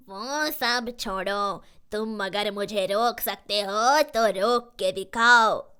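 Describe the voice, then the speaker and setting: Over a silent background in a very clean recording, a female-sounding cartoonish character voice pitched fairly high moves at a very slow pace with hardly any pauses. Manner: mocking, threatening.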